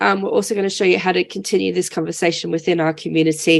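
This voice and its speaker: A woman talks at a very fast pace with lively intonation. Her fairly low voice carries vocal fry. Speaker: online community manager and webinar host. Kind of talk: hosting a webinar. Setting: video call.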